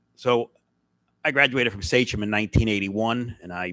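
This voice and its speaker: Recorded very cleanly against silence with a dry, close sound and no echo, a man with an American accent talks fairly quickly in a normal speaking voice at a medium pitch with ordinary pitch variation. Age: 60s. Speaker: school board member. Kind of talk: public meeting remarks. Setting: board meeting with audience.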